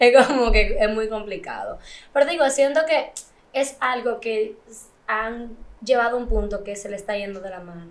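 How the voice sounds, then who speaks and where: A woman with a normal speaking voice talks at a moderate pace and fairly high pitch, her pitch variation ordinary and her loudness swinging widely. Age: 20s. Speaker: actress. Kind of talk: casual chat.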